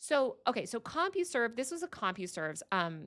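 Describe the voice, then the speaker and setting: A woman's animated, high voice with very wide pitch swings. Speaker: tech reporter. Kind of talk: livestream commentary. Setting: office. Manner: fast.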